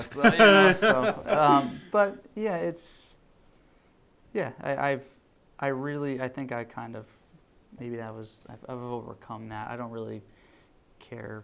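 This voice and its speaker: Soft-spoken and fairly slow, a man with a medium pitch and a bright, sharp tone uses very wide pitch swings, big swings in loudness, and long, frequent pauses. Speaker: gym owner and coach. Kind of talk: podcast interview answer.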